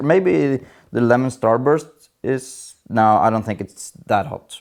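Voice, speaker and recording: On a very clean recording with a silent background, a man with a non-native accent talks with ordinary pitch variation. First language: not English. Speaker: gardening youtuber. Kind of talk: casual tutorial vlog. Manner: hesitant, many fillers.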